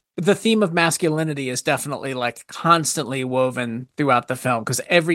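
A man with a plain, everyday voice talks at a moderate pace on a very clean recording with a silent background and a dry, close sound with no echo. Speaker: film commentator. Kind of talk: casual chat.

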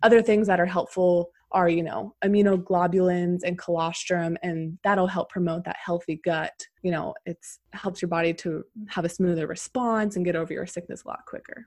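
A woman with an American accent and a plain, everyday voice talks at a moderate pace, at a fairly low pitch with fairly even intonation. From Pennsylvania. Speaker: naturopathic doctor. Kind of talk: interview.

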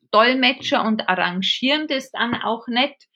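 This woman has a strong Bavarian accent and a fairly high, bright, sharp voice. Her pitch varies in an ordinary way against a quiet background. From Bavaria, Regensburg. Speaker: theology professor and intercultural consultant. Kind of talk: interview.

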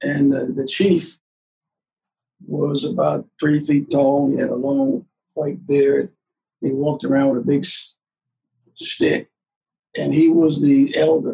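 With a Southern US accent, a man speaks at a very slow pace broken by long, frequent pauses. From US South. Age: 80s+. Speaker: war veteran. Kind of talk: casual chat.

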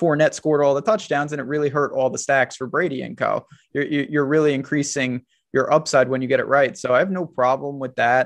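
In an ordinary speaking voice, a man talks at a fairly quick pace, his pitch fairly high and his intonation fairly even. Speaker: fantasy sports analyst. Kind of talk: casual sports podcast chat.

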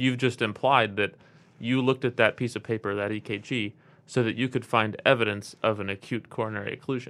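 On a very clean recording with a silent background, a man with an ordinary speaking voice talks at medium pitch and a fairly quick pace with fairly even intonation. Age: 30s. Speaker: emergency medicine physician and faculty mentor. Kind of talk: casual chat. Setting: studio.

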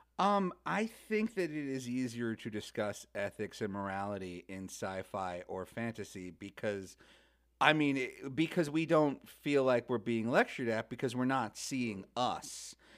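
A man talks at a fairly slow pace with lively intonation. He has an ordinary speaking voice at a medium pitch. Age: 30s. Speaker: comedian, writer and podcaster. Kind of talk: casual chat.

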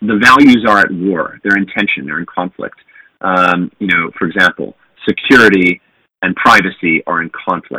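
Recorded with a dry, close sound and no echo, a man talks at a moderate pace with a fairly low pitch. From US West Coast, San Diego. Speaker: tech company founder. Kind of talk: interview conversation. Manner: hesitant, many fillers.

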